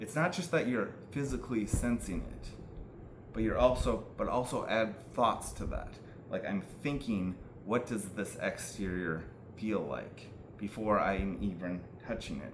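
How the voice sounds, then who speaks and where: In a room with audible echo, a man with a fairly low pitch and vocal fry speaks with lively intonation. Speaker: self-help video maker. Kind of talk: monologue explaining mental health techniques. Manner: slow; halting, stuttering.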